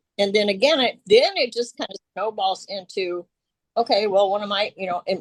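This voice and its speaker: In a Southern US accent, a woman with a fairly high pitch speaks at a moderate pace with ordinary pitch variation, and the sound is dry and close with no echo. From US South, Arkansas. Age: 60s. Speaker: workshop participant. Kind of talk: casual sharing. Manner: halting.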